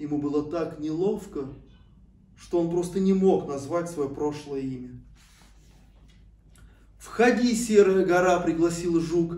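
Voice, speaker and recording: His pace is very slow. The man's tone is dark and mellow. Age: 40s. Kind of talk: read-aloud fairy tale for children.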